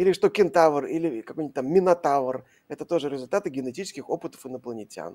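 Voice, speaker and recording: At a very fast pace, a man talks in a high pitch with lively intonation and a dark, mellow tone, the sound dry and close with no echo. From Russia, Saint Petersburg. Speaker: science journalist. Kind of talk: live stream Q&A.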